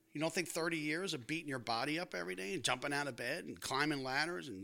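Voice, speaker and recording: A man with an American accent speaks at a fairly quick pace in a bright, sharp tone with a fairly high pitch. His intonation is lively, and vocal fry is present. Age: 60s. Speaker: retired firefighter. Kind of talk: casual chat. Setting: home dining room.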